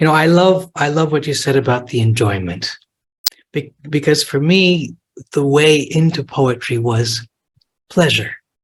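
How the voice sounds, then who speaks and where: Speaking at a fairly slow pace, a man with a fairly high pitch sounds somewhat breathy. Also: ordinary pitch variation. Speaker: author and translator. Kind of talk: live talk and Q&A. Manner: halting, many repetitions.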